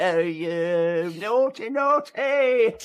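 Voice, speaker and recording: A man puts on a character voice pitched high. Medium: audio drama. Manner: excitable, muttering.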